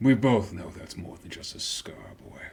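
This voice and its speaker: Someone whispers in a put-on character voice. The pace is moderate. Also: man. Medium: actual play. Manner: brooding, sardonic.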